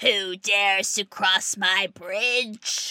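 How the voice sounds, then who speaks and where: A woman speaks in a put-on character voice at a medium pitch. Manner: roaring, menacing.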